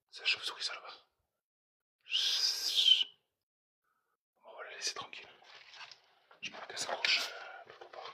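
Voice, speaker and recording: Whispering at a fairly slow pace, a man leaves long, frequent pauses while his loudness swings widely. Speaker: urban explorer streamer. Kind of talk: live stream commentary. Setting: abandoned house, livestream. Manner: quiet, hushed.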